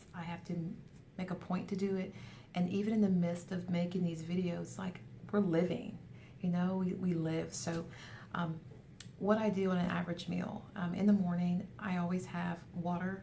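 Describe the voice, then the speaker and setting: A woman with a fairly low pitch and a dark, mellow, somewhat breathy tone speaks in a flat monotone, with audible room echo. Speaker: weight loss vlogger. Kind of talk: casual video update. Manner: fast.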